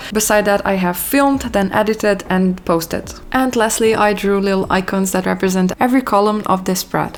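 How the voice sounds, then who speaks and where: The woman talks fairly quickly, her medium pitch varying in an ordinary way, with noticeable background noise behind her. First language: not English. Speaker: lifestyle YouTuber. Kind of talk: scripted voiceover tutorial.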